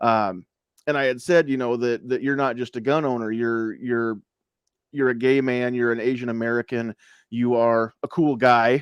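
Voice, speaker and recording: A man speaks at a moderate pace and medium pitch with fairly even intonation. The sound is dry and close with no echo, over a quiet background. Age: middle-aged. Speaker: podcast host. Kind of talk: casual chat. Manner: halting.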